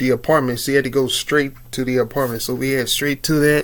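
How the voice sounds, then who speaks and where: A man talks at a moderate pace in a fairly high voice. His intonation stays fairly even. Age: 30s. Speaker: YouTuber telling a personal story. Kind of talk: casual storytelling vlog. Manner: casual, slangy with frequent fillers and repetition.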